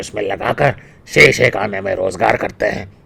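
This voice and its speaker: A man's put-on character voice at a moderate pace. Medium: read story.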